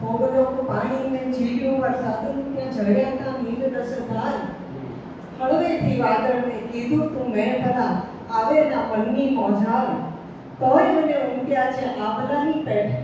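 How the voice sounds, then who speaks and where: Over noticeable background noise, a woman talks in a high pitch with fairly even intonation. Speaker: poet. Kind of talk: poetry reading at a literary gathering.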